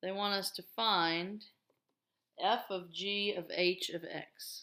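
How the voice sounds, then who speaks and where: Very slowly, a woman speaks at a medium pitch with a bright, sharp tone and fairly even intonation. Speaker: math teacher. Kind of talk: tutorial.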